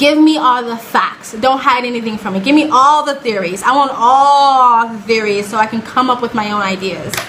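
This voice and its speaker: With an animated tone and a fairly high pitch, a woman speaks amid noticeable background noise and audible room echo. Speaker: reaction video creator. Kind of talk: casual commentary. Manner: fast.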